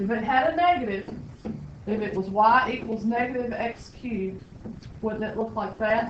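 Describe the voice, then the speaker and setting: With a Southern US accent, a woman talks at a moderate pace in a fairly high pitch, pausing long and often amid audible room echo. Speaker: high school math teacher. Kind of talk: classroom lecture. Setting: classroom.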